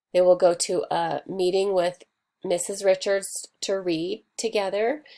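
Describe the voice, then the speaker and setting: Her voice is dark and mellow, medium in pitch with ordinary variation, and she speaks at a fairly slow pace. The recording of this woman is very clean, with a silent background. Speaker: elementary school teacher. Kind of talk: tutorial.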